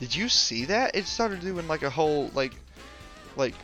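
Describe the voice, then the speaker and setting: A man speaks at a moderate pace. Music can be heard behind him. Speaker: gaming video creator. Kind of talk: casual gameplay commentary. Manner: casual, hesitant with fillers.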